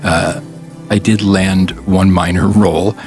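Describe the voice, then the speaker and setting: A man is speaking. Music plays in the background. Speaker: voice actor. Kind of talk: casual talk to camera.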